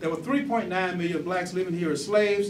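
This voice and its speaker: Lively intonation over noticeable background noise, with audible room echo. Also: man. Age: 60s. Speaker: museum founder and former city council member. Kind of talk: talk to an audience.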